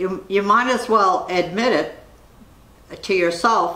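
Speech comes at a fairly slow pace with audible room echo. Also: woman. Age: 90s. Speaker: interviewee. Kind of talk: interview; interview answer. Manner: halting. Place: home room.

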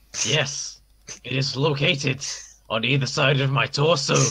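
In a put-on character voice, a man talks at a moderate pace with a raspy, medium-pitched sound. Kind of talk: comic overacting. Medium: actual play. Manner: cheeky, deadpan, playful.

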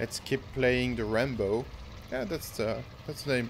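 With a French accent, a man speaks at a moderate pace and with fairly even intonation. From France. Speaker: gaming YouTuber. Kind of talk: live gameplay commentary. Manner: halting.

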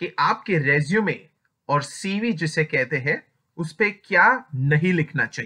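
Against a quiet background, a man speaks at a high pitch with a bright, sharp tone and lively intonation. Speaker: HR advice youtuber. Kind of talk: tutorial. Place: home room. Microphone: webcam.

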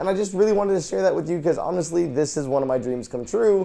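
Very fast, upbeat and enthusiastic speech with very wide pitch swings. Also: man. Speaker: voice actor, YouTube host. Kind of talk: casual talk to camera. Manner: upbeat, enthusiastic. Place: home room. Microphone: lapel.

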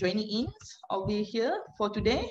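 Over light background noise, a woman speaks with a fairly high pitch and a somewhat breathy voice. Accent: Malaysian. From Malaysia. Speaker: moderator. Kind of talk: webinar moderation. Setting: video call. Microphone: video call.

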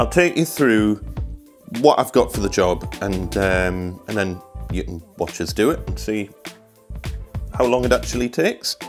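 A man talking at a fairly slow pace with long, frequent pauses, clear music playing behind him. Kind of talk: tutorial. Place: home room.

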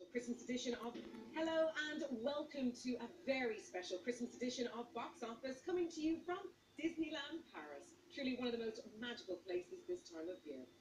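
Over noticeable background noise, a woman talks at a fairly quick pace and a high pitch, with very wide pitch swings. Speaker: TV presenter. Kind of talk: TV presenting to camera. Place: street.

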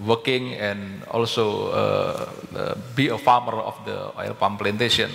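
A man speaks with an Indonesian accent. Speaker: palm oil company director; panelist. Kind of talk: panel discussion. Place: hall. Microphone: headset.

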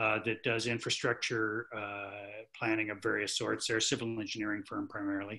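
A man with a fairly low pitch speaks at a fairly quick pace in a bright, sharp tone. His intonation is monotone and flat, and the background is quiet. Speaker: climate planning consultant. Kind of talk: virtual committee meeting presentation. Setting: video call. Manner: halting, many fillers. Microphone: video call.

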